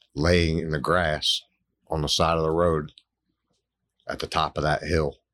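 A man with a very deep, low, monotone voice at a fairly slow pace, broken by long, frequent pauses. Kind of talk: testimony. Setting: studio. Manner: emotional, halting.

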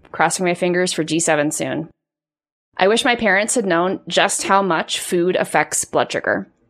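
The pace is fairly slow and the pitch varies in an ordinary way, in a normal speaking voice. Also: woman, medium pitch for a woman. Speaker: podcast host and life coach. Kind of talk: podcast hosting, intro and outro.

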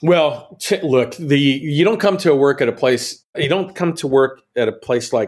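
At a moderate pace, a man with an American accent uses lively intonation in a plain, everyday voice. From Texas. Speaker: channel sales executive. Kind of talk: interview.

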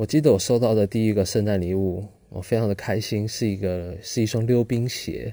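A man with a Taiwanese accent speaks at a fairly quick pace, his pitch fairly low and varying in an ordinary way. His tone is dark and mellow, on a very clean recording with a silent background. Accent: Taiwanese Mandarin. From Taiwan, Pingtung (rural south). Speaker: podcast host. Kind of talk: solo storytelling monologue.

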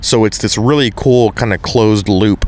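There is noticeable background noise. A man talks in an American accent. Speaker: podcast host. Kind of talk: casual chat. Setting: live at expo event.

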